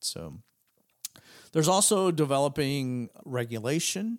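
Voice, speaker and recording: A man's normal speaking voice with lively intonation at a fairly slow pace, on a very clean recording with a silent background. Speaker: tech podcast host. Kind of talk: casual podcast explainer. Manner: casual with frequent fillers.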